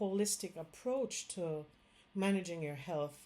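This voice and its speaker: Lively intonation at a fairly slow pace, with a Jamaican accent. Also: woman. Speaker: Chinese medicine doctor. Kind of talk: direct-to-camera health talk. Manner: casual, with fillers.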